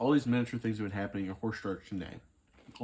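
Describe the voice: Reading done plainly, out loud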